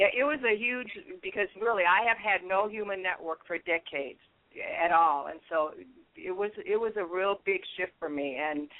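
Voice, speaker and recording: A woman with an American accent, a normal speaking voice, medium pitch and a moderate pace. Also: lively intonation. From US Midwest, Minnesota. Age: 60s. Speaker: guest sharing spiritual story. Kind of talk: casual interview.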